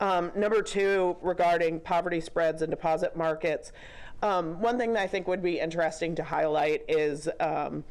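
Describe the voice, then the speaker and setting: Her voice fairly low in pitch, a woman speaks at a moderate pace with very even loudness and fairly even intonation. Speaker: state banking regulator, audience questioner. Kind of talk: conference Q&A comment. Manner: hesitant, many fillers.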